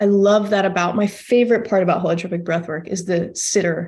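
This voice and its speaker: Using a normal speaking voice, a woman talks at a fairly quick pace and a medium pitch with fairly even intonation. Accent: American. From Texas, Austin. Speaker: breathwork facilitator and addiction counselor. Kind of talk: interview conversation.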